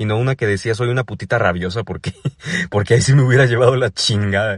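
Speaking in a Mexico City accent, a man sounds animated and somewhat breathy at a fairly quick pace, the sound dry and close with no echo. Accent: Mexico City area Mexican Spanish. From Mexico, State of Mexico. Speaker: comedian podcaster. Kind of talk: comedic monologue.

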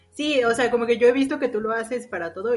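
A woman speaks at a very fast pace with fairly high pitch. Music plays behind her. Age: 20s. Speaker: podcast co-host. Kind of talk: casual chat. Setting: recording from home.

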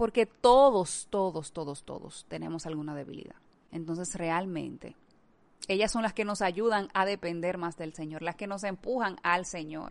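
Speaking at a moderate pace in an ordinary speaking voice, a woman with a fairly low pitch and ordinary pitch variation makes big swings in loudness over a quiet background. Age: 30s. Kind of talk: devotional talk.

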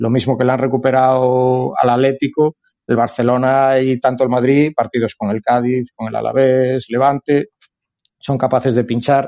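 A man's medium-pitched voice in a Galician accent, flat and monotone in intonation. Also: moderate pace. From Galicia, Spain. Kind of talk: casual chat.

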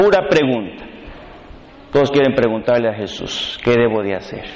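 A man is speaking amid noticeable background noise. The room echo is audible. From Mexico, Reynosa. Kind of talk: sermon.

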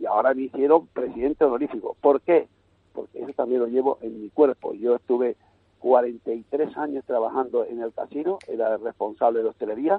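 A man at medium pitch, with a plain, everyday voice, speaks at a fairly quick pace, showing ordinary pitch variation and big swings in loudness. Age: 60s. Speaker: youth football coach. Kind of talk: radio interview.

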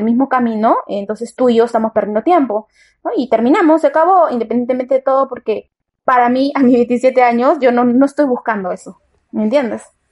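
High-pitched, a woman speaks at a fairly quick pace with ordinary pitch variation. The sound is dry and close, with no echo. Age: 20s. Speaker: podcast guest, former taxi driver. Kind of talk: casual debate.

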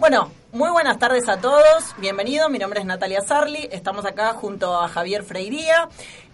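Very wide pitch swings mark this voice, which moves at a moderate pace with hardly any pauses over noticeable background noise. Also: woman, fairly high pitch for a woman. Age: 30s. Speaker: radio host. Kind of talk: casual chat.

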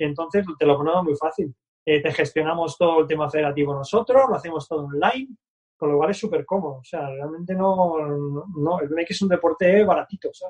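A man speaks in a normal speaking voice, fairly quick, with a fairly high pitch and ordinary pitch variation. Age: 50s. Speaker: BMX club founder and coach. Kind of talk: casual interview.

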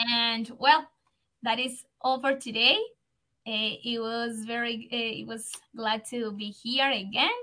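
A woman speaks very slowly in a Spanish accent, her voice fairly high-pitched. Her tone is bright and sharp, and her intonation stays monotone and flat. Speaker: English teacher, radio host. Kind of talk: casual educational chat. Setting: radio studio.

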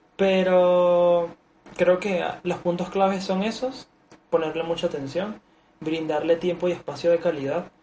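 In a Venezuelan accent, a man speaks at a high pitch for a man, his tone dark and mellow and his intonation fairly even. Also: fairly slow pace. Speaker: podcast host. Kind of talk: casual chat.

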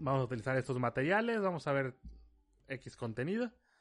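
Talking at a moderate pace, a man lets his pitch swing very widely. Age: 30s. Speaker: podcast host. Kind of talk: casual solo podcast monologue.

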